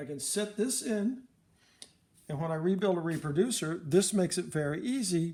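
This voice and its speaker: Lively intonation marks this man's speech, pitched high for a male voice. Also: moderate pace. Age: 60s. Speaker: phonograph repairer. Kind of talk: tutorial. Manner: casual, rambling.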